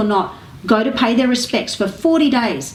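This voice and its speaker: In an Australian accent, a woman speaks at a fairly high pitch with ordinary pitch variation over noticeable background noise. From Melbourne, Australia. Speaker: actress, comedian. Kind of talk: interview answer.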